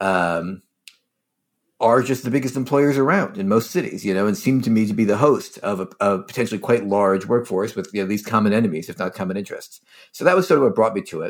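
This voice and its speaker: A man with an American accent talks at a very fast pace, his fairly low pitch carrying lively intonation. The recording is very clean, with a silent background. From Philadelphia. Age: 30s. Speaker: historian. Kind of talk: interview.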